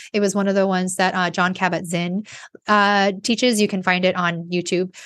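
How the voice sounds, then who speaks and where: Against a quiet background, a woman with an unremarkable speaking voice talks at a fairly quick pace, medium in pitch, with fairly even intonation. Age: 40s. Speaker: life coach and podcast host. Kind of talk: solo monologue podcast. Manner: casual with frequent fillers.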